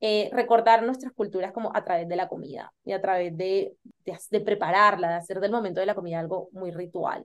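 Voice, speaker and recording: A woman talks at a fairly quick pace in an ordinary speaking voice. Her pitch varies in an ordinary way. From Colombia. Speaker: interior designer. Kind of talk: podcast interview.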